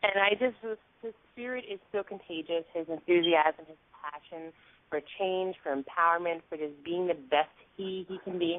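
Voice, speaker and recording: A woman with an American accent and a plain, everyday voice speaks at a moderate pace in a fairly low pitch, her loudness swinging widely while her pitch varies in an ordinary way. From New York. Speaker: talk show host. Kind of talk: interview.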